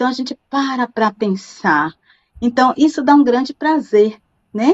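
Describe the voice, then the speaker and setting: A woman at a high pitch, with lively intonation and a fairly slow pace. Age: 60s. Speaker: university professor. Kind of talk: interview.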